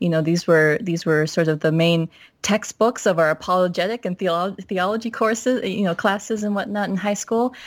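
A woman with a normal speaking voice and an American accent, medium in pitch with ordinary variation, at a moderate pace in a very clean recording with a silent background. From Minnesota. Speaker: academic doctor. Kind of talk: casual chat.

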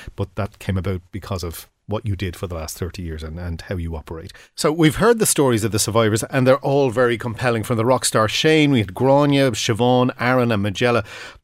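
A man with an unremarkable speaking voice and a medium pitch talks at a fairly quick pace with lively intonation and hardly any pauses. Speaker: executive producer and old friend. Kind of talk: casual interview.

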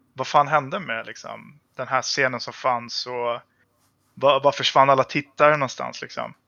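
This man talks at a moderate pace in a plain, everyday voice, pitched in the medium range. His intonation is fairly even, but his loudness swings widely. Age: 30s. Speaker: gamer. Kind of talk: casual chat.

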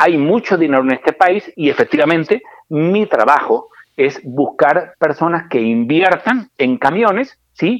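A man's high voice in a Murcian accent, fairly slow, with lively intonation and very even loudness. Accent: Spanish (Murcia). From Spain, Murcia. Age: 50s. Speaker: trucking company director. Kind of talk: interview. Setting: phone call.

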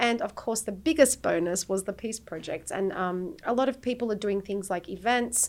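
Talking at a moderate pace with hardly any pauses, a woman has an Australian accent. Her fairly high voice carries lively intonation. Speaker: peace activist and mother. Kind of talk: casual chat. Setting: studio.

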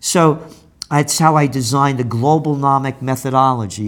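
A man with a New York accent, fairly high in pitch, at a moderate pace with ordinary pitch variation. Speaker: trends forecaster and publisher. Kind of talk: interview.

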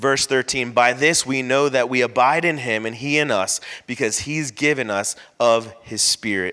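Loud and bright with a sharp tone, a man speaks at a medium pitch and moderate pace with ordinary pitch variation. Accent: American. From Florida. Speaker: pastor. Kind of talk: sermon. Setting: church.

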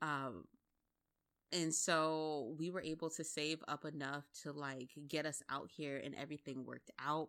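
In a very clean recording with a silent background, a woman speaks at a very deep, low pitch and a fairly slow pace with fairly even intonation. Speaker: podcast host. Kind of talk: casual solo monologue. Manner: laughs often.

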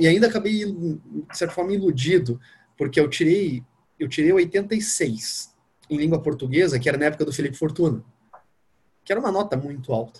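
This man's fairly high voice moves at a moderate pace with lively intonation. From Curitiba, southern Brazil. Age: 30s. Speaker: newly passed diplomat, former sports journalist. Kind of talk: interview. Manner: casual.

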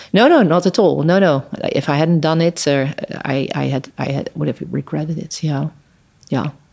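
The voice carries a Dutch accent. It moves at a moderate pace. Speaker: human rights lawyer. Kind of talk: interview conversation. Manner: halting.

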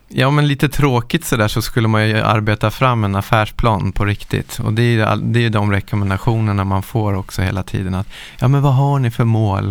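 With an unremarkable speaking voice, a man talks at a fairly quick pace, medium pitch and ordinary pitch variation. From Stockholm area, Sweden. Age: 40s. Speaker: pro skier and entrepreneur. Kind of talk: casual interview. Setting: studio.

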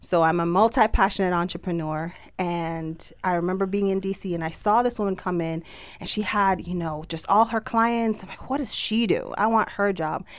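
A woman's medium-pitched voice with a Jamaican accent, animated tone, ordinary pitch variation and moderate pace, in a very clean recording with a silent background. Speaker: entrepreneur and business summit organizer. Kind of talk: casual interview chat. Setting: radio studio. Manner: animated, laughs often.

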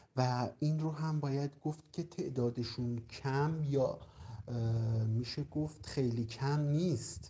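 The voice is somewhat breathy, moving at a very slow pace with ordinary pitch variation. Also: man. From Iran, Qazvin province. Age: 30s. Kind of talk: interview testimony. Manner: halting, many pauses.

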